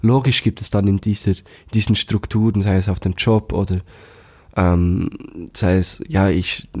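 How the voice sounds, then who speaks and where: At a moderate pace, a man speaks with a dark, mellow tone and fairly low pitch. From Switzerland, canton of Bern (Thun). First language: Swiss German (Bernese) (speaking German). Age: 20s. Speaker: band manager, musician and slam poet. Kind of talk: casual interview.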